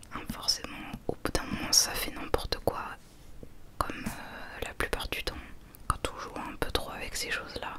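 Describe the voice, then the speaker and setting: Whispering comes at a fairly slow pace with long, frequent pauses over noticeable background noise. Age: 20s. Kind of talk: ASMR relaxation talk to camera. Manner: whispered, soft-spoken.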